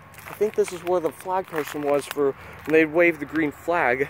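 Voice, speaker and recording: Recorded dry with no echo over light background noise, a man speaks at a fairly slow pace with ordinary pitch variation. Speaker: vlogger exploring abandoned site. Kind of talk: casual vlog chat. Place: open country. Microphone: phone near.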